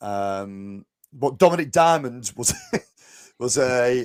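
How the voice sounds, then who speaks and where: A man with a strong northern English accent, medium pitch and lively intonation, in a dry, close sound with no echo. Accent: thick northern English. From northwest England. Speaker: podcast host. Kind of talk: casual chat.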